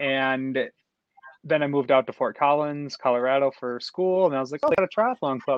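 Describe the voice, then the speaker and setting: A man with an unremarkable speaking voice and an American accent talks at a fairly quick pace, his fairly high pitch carrying lively intonation. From US. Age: 30s. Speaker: professional triathlete. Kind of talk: interview.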